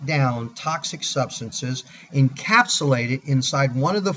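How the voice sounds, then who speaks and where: This man's voice is somewhat breathy and fairly high in pitch. His pitch varies in an ordinary way. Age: 60s. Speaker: product presenter. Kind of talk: sales pitch. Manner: animated.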